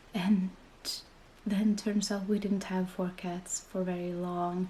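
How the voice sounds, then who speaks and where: Noticeable background noise accompanies the woman as she talks at a moderate pace, her intonation fairly even. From Finland. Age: 20s. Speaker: parent vlogger. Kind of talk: casual talk to camera.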